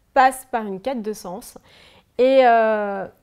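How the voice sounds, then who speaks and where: A woman's intonation stays fairly even, and the background is quiet. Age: 30s. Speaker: former fashion designer and author; interviewee. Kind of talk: personal testimony interview. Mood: reflective, candid, emotional. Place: home room.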